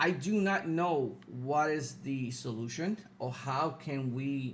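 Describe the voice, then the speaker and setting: The man's voice is somewhat breathy. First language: Spanish. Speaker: political podcast host. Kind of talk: live stream commentary. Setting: live stream. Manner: halting, many fillers.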